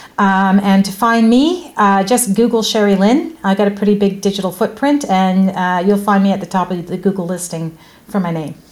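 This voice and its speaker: A woman with a normal speaking voice and medium pitch uses ordinary pitch variation and leaves hardly any pauses. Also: moderate pace. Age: 50s. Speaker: podcast host. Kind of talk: interview.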